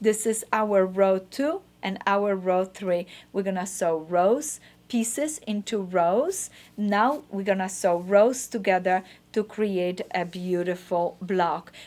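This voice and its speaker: Speaking at a very slow pace, a woman has a medium pitch. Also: ordinary pitch variation. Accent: non-native. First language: not English. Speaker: quilting teacher. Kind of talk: tutorial.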